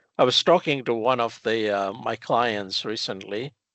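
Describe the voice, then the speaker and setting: A man with a non-native accent, medium-pitched, with ordinary pitch variation and a fairly slow pace. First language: not English. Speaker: metrology and quality consultant. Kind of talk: casual podcast conversation. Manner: hesitant, many fillers.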